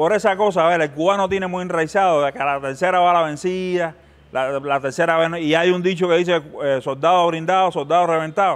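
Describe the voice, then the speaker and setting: Pitched high for a man, his voice moves at a fairly quick pace with fairly even intonation. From Cuba. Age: 50s. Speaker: filmmaker and former war correspondent; former war correspondent. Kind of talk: interview. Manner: halting, many fillers and repetitions. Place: hall. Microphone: lapel.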